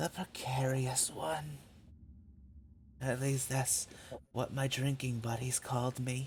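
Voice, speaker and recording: In a put-on character voice with a low-to-middle pitch, someone talks at a fairly slow pace with long, frequent pauses as clear background noise plays. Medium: actual play. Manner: grits teeth, hiding pain.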